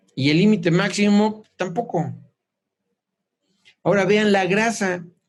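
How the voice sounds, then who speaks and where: Audible room echo surrounds a man who speaks at a high pitch and a fairly slow pace, with fairly even intonation. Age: 60s. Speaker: clinical nutrition doctor. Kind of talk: informal lecture.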